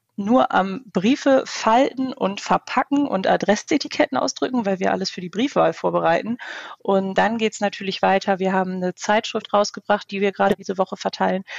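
A woman at medium pitch has an unremarkable speaking voice. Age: 20s. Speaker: youth works council candidate. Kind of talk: interview.

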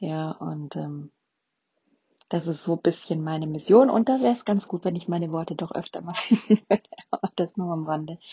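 A somewhat breathy woman at a fairly low pitch, moderate pace and ordinary pitch variation, with long, frequent pauses. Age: 40s. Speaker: podcast host. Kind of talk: casual monologue. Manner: hesitant with fillers.

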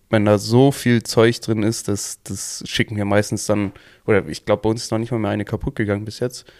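The recording is very clean with a silent background. A man speaks at a fairly low pitch in a monotone, flat intonation. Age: 20s. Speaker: plumbing and heating technician. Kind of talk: casual chat.

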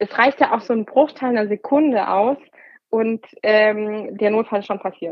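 This is an ordinary speaking voice. A woman with a fairly high pitch talks at a moderate pace with ordinary pitch variation. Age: 30s. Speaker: emergency doctor. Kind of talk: interview.

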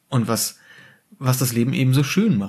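A man speaks at a medium pitch, somewhat breathy. His pace is moderate and his pitch variation ordinary. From Germany, rural village. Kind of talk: casual chat. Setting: home dining room.

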